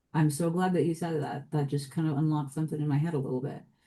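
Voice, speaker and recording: A woman with an American accent, a very deep, low pitch, a dark, mellow tone, fairly even intonation and a somewhat breathy sound. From US (Washington DC, Chicago, San Francisco). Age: 40s. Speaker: multidisciplinary artist and writer. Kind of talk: podcast interview. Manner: hesitant, many repetitions and fillers.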